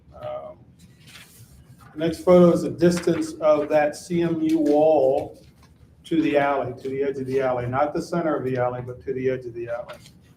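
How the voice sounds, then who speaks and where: A man's fairly high voice, with mostly level intonation and a moderate tempo, comes through noticeable background noise. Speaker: electrical engineer and residential designer presenting to commission. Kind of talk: public meeting presentation. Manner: halting, many fillers.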